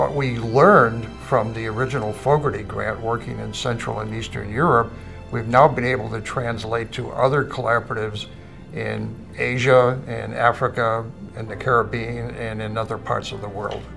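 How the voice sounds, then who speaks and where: Clear music plays in the background as a man speaks with big swings in loudness. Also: moderate pace. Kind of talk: interview answer. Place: office.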